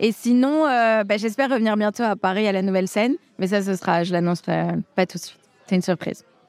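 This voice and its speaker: A woman of medium pitch at a fairly quick pace, ordinary pitch variation and music in the background. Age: 30s. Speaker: stand-up comedian. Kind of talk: interview. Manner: halting.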